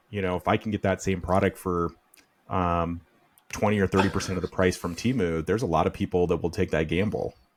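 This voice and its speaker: Speaking at a very fast pace, a man uses a very deep, low pitch and fairly even intonation. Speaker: podcast host. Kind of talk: interview.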